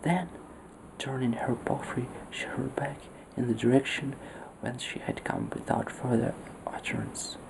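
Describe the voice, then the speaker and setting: A whispered voice at a moderate pace, broken by long, frequent pauses, comes through noticeable background noise. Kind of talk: story reading. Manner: soft-spoken.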